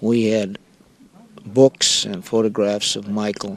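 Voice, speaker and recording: Fairly low-pitched man with an American accent over noticeable background noise. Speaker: interviewee, relative of historical figure. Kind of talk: interview. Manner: halting.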